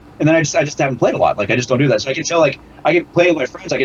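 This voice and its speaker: Words pour out very fast from a man, with noticeable noise in the background. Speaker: amateur rock musician. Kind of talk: casual chat. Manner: fast, sometimes slurred.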